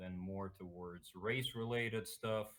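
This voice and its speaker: A man's fairly low voice, with ordinary pitch variation and a moderate pace. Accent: Russian. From Russia, Moscow. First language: Russian. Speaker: political streamer. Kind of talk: interview. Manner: halting, many fillers.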